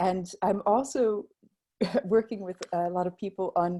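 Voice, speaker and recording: In an American accent, a woman speaks at a moderate pace with a medium pitch, ordinary pitch variation and a dark, mellow tone. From North America (US, Mexico, Canada). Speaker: improvisation trainer. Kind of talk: webinar presentation. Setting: video call.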